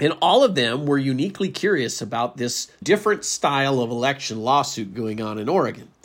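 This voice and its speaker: A man's normal speaking voice, fairly high in pitch, fairly quick and with hardly any pauses, full of lively intonation. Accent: American. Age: 50s. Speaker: political podcast host. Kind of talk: political commentary monologue.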